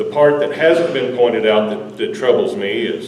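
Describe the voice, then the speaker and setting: A man with a Texas accent talks at a moderate pace with ordinary pitch variation. Noticeable background noise and audible room echo fill the recording. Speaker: local resident. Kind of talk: public meeting comment. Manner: loud.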